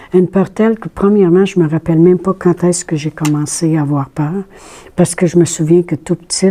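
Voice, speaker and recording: A woman with a Quebec accent speaks in a fairly low pitch. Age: 60s. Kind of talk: testimony. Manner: casual, conversational with hesitations.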